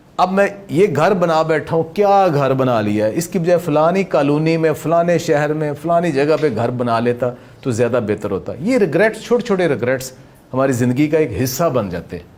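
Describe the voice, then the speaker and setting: His intonation rises and falls in a lively way. This man has a fairly high pitch. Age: 60s. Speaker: motivational speaker and yoga teacher. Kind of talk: motivational talk. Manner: animated.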